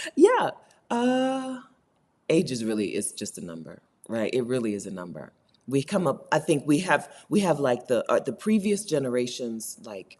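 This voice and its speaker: The woman's loudness swings widely while she keeps a moderate pace. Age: 40s. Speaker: YouTuber and writer. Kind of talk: casual chat. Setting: live stream. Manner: chatty.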